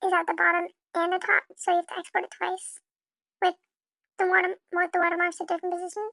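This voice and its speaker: A woman with an extremely high pitch projects a raised, bright, sharp voice at a fairly quick pace, flat and monotone in intonation, with long, frequent pauses and a dry, close sound with no echo. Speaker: video editing tutorial creator. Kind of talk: tutorial. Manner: halting, many fillers; casual.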